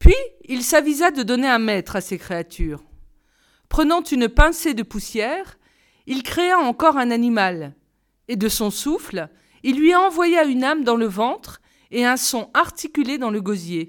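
Fairly slow, calm delivery with very wide pitch swings and long, frequent pauses, on a very clean recording with a silent background. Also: woman, high pitch for a woman. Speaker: audiobook reader. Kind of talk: storytelling, reading aloud a folk tale. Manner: measured narrative pace, calm storyteller tone; formal, clear diction.

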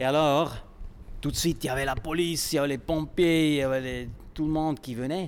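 In a plain, everyday voice, a man with a fairly high pitch talks at a fairly quick pace. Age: 50s. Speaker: tightrope walker. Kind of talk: interview.

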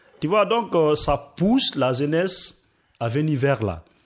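At a very slow pace, a man speaks with a fairly high pitch and lively intonation. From Guinea, Forest Guinea region. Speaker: asylum seeker, radio workshop participant. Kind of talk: discussion. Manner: hesitant.

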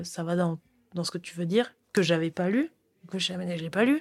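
A woman's fairly low voice with a dry, close sound and no echo. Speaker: former PhD student. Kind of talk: interview conversation.

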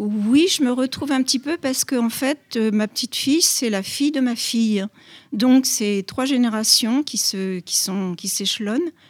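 A woman speaks at a high pitch and a fairly slow pace. Her pitch varies in an ordinary way, and the sound is dry and close with no echo. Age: 80s+. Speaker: grandmother interviewed. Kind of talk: interview. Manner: halting.

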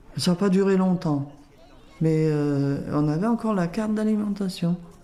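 Very slow speech from a woman, fairly low in pitch, with ordinary pitch variation and noticeable background noise. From France, Lyon region. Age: 80s+. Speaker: grandmother and home cook. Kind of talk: casual interview. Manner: halting.

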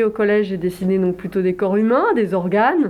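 A woman talks with a medium pitch and fairly even intonation. Her pace is moderate. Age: 50s. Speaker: visual artist and illustrator. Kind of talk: interview. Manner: hesitant, many filler sounds.

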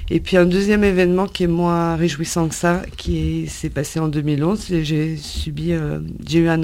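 A woman's fairly low, monotone, flat voice at a fairly slow pace, with audible room echo. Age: 50s. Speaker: job seeker, HR consultant. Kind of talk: radio interview. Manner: halting.

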